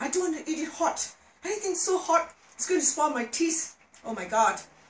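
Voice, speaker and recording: A woman talks at a moderate pace, with light background noise and audible room echo. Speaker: home cook vlogger. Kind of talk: casual cooking tutorial chat. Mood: cheerful, playful. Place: kitchen. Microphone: camera far.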